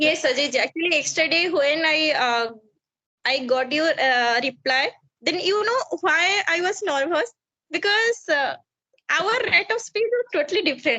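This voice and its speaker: Extremely high pitch from a woman in a raised, projected voice, bright and sharp in tone, with very wide pitch swings, very even loudness and a fairly slow pace. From India, Odisha. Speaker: English learner, homemaker. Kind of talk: casual chat. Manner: halting.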